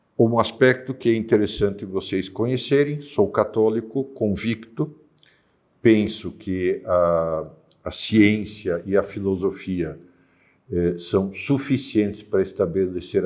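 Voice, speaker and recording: Fairly low in pitch, a man speaks with ordinary pitch variation. His pace is very slow. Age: 60s. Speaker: philosophy teacher. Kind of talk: lecture. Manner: hesitant fillers.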